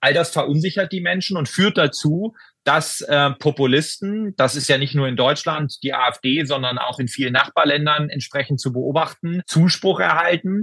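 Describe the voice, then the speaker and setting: Dry and close with no echo, a man's voice has a bright, sharp tone, ordinary pitch variation and a moderate pace with hardly any pauses. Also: fairly high pitch for a man. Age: 40s. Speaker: member of parliament and emergency physician. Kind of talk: interview. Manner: formal.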